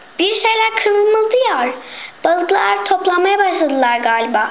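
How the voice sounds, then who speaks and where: A woman's put-on character voice at an extremely high pitch and a moderate pace, with clear background noise. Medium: read story.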